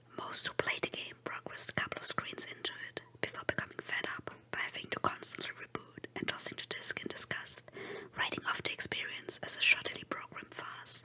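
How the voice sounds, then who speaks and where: Someone is whispering at a fairly quick pace. Noticeable background noise is present. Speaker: VTuber. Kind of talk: horror story reading. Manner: whispered.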